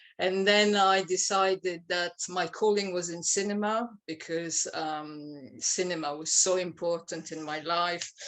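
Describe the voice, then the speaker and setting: A woman speaks at a fairly slow pace with a fairly low pitch. She hardly pauses at all. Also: fairly even intonation. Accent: French. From France. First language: French. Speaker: playwright. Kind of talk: interview. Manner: halting.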